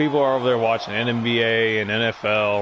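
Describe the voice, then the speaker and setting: Over noticeable background noise and audible room echo, a man talks in a relaxed tone at a medium pitch with fairly even intonation. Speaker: video game commentator. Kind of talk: casual gameplay commentary. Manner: relaxed, chill; stuttering.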